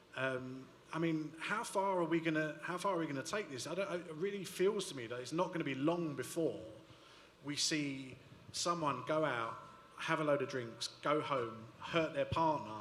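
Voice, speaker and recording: Through noticeable background noise and audible room echo, a man with a strong London accent speaks at a moderate pace, fairly high in pitch with ordinary variation. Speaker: panelist. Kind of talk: panel discussion.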